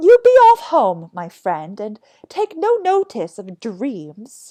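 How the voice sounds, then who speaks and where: In a put-on character voice, a woman speaks very slowly at a high pitch with very wide pitch swings. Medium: read story. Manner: jovial, matter-of-fact.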